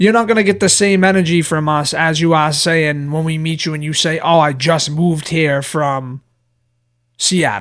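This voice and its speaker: A man with an American accent and a normal speaking voice talks at a moderate pace, fairly high in pitch with ordinary pitch variation, in a very clean recording with a silent background. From Boston area, Massachusetts. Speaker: podcast co-host. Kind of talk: casual chat.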